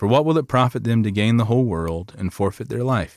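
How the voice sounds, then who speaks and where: This is a very clean recording with a silent background. In it, a man talks with a Southern US accent. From Lower Alabama. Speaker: pastor. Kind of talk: sermon.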